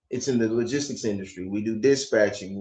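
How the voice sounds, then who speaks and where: His tone is dark and mellow. The male speaker has an American accent. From United States. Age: 50s. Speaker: vlogger. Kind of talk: casual chat.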